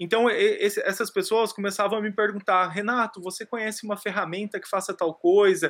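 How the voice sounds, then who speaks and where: A man with a high pitch talks at a moderate pace with hardly any pauses, his intonation monotone and flat and his loudness swinging widely. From rural Brazil. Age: 30s. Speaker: digital education entrepreneur. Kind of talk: podcast interview.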